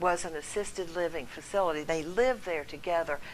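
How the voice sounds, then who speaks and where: A woman's unremarkable speaking voice, fairly low in pitch, with an American accent and a moderate pace. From North Carolina. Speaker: storyteller. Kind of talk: storytelling.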